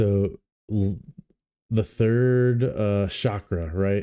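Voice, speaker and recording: Heard in a very clean recording with a silent background, a man's dark, mellow voice sits fairly low in pitch, with ordinary pitch variation. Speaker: livestream commentator. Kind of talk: casual live stream commentary. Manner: slightly slurred.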